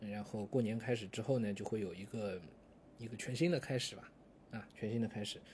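A man's medium-pitched, somewhat breathy voice at a fairly quick pace, with ordinary pitch variation. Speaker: podcast host and online course lecturer. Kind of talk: casual monologue. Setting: office.

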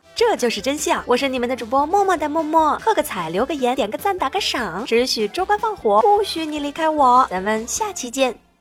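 Over noticeable background noise, a woman with a high pitch and very wide pitch swings talks at a fairly quick pace with hardly any pauses. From Inner Mongolia. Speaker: podcast host. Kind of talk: scripted narration.

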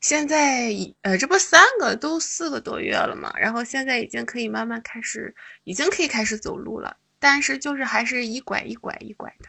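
At a moderate pace, a woman talks in a high pitch with lively intonation and big swings in loudness. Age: 20s. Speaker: caller. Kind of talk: casual chat.

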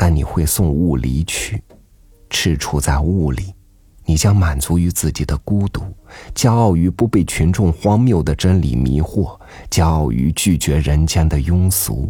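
Very slowly and with long, frequent pauses, a man speaks at a very deep, low pitch, his tone dark, mellow and somewhat breathy, his intonation lively. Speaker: podcast host reading an essay. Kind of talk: literary audiobook reading, reflective prose essay. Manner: slow, contemplative, wistful, gently measured; soft, intimate, pausing between phrases.

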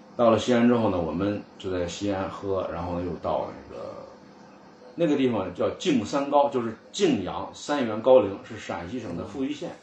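Lively intonation moves along at a moderate pace, with audible room echo and noticeable background noise. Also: man, medium pitch for a man. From northern China, Cangzhou area of Hebei. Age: 40s. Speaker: antique furniture collector. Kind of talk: casual interview chat.

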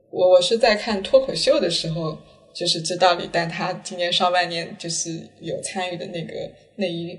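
A woman at a medium pitch keeps her intonation fairly even and her pace moderate, with noticeable background noise behind her. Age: late 20s. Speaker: podcast host. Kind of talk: casual chat. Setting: at home.

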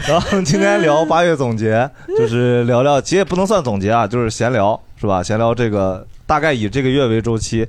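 A man's medium-pitched voice at a fairly quick pace, with lively intonation and very even loudness. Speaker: comedian, podcast host. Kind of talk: casual chat. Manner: animated.

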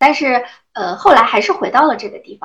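A high-pitched woman's voice with very wide pitch swings. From Anhui, China. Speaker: rural lifestyle creator. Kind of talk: casual chat.

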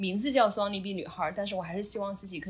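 Very fast and with fairly even intonation, a woman speaks. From Sichuan / Chongqing, China. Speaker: CrossFit athlete and coach. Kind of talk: interview.

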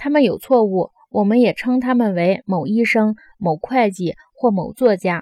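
In an animated tone with lively intonation, a woman speaks at a moderate pace and a fairly high pitch. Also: dry, close sound with no echo. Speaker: audiobook narrator. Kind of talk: audiobook reading aloud of a philosophical dialogue. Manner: animated, shifting between characters' argumentative tones; formal, measured literary delivery.

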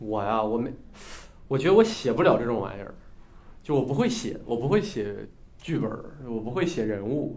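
The speaker moves at a fairly quick pace with lively intonation but takes long, frequent pauses. Audible room echo surrounds the voice. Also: man, medium pitch for a man. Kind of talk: casual chat.

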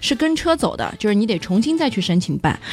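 A woman at a very fast pace with lively intonation. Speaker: car podcast co-host. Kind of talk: casual chat.

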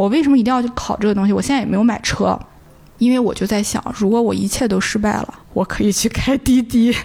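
Here is a plain, everyday voice. It belongs to a woman with a medium pitch. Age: 30s. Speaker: former film industry worker, tea house owner. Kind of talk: casual interview chat. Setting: tea house.

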